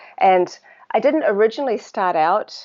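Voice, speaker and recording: A woman talks at a moderate pace with a New Zealand accent. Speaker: water researcher. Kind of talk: interview conversation. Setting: live video stream. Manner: hesitant, many fillers.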